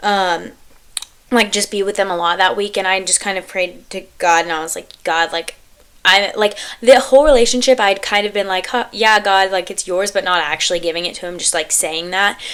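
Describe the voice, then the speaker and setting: Talking at a fairly quick clip, a woman uses a normal speaking voice at a medium pitch with ordinary pitch variation. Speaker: podcast host. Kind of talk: casual chat.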